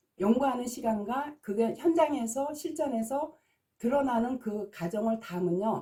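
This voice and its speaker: At a fairly slow pace, a woman speaks with a high pitch in a dark, mellow tone. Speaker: naming consultant and teacher. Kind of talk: video lecture. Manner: agitated.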